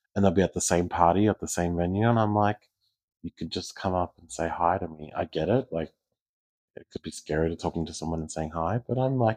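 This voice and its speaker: In an Australian accent, a man speaks at a fairly quick pace with a very deep, low pitch, ordinary pitch variation and big swings in loudness. The sound is dry and close with no echo, over a quiet background. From Australia, Geelong. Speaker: community leader, pageant titleholder. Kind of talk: casual interview chat. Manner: hesitant fillers (um, uh).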